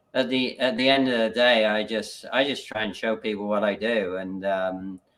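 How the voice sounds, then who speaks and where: A man's plain, everyday voice, medium in pitch, at a fairly slow pace with ordinary pitch variation. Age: 60s. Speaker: business coach and livestream host. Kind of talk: casual chat. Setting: live video stream.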